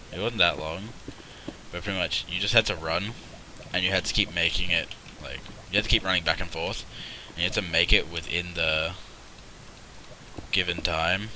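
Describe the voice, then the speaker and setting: In an Australian accent, the speaker goes at a moderate pace with long, frequent pauses and fairly even intonation. Noticeable background noise runs underneath. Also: man, very deep, low pitch for a man. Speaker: gaming streamer. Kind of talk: live gameplay commentary. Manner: casual, rambling.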